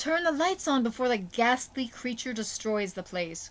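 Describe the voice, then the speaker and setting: Putting on a character voice, a woman growls in a high pitch with very wide pitch swings at a moderate pace. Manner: growling.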